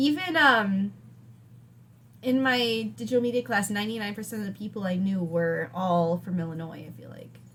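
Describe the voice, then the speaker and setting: A woman's medium-pitched voice with an American accent, lively intonation, a moderate pace and big swings in loudness, over noticeable background noise. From Wisconsin. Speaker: podcast co-host. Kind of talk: casual chat.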